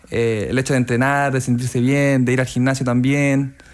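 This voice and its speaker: Flat and monotone, a man speaks at a medium pitch. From Chile, Coquimbo region (La Serena); Coquimbo, Chile. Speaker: transplant footballer; radio interview guest. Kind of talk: radio interview. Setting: radio studio. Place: studio. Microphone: studio mic.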